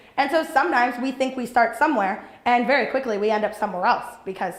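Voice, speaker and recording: With audible room echo and noticeable background noise, a woman talks at a very fast pace. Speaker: entrepreneur and business coach. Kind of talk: workshop talk. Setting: training program with live audience. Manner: loud.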